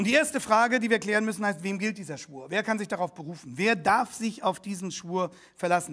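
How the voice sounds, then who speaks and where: Against a quiet background, a man speaks at a fairly quick pace in a high pitch. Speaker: pastor. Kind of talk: sermon. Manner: formal; earnest, teaching. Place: church.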